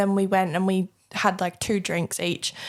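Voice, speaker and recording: A woman's medium-pitched voice with a British accent. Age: young. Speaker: host's daughter, small business owner. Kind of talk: casual chat.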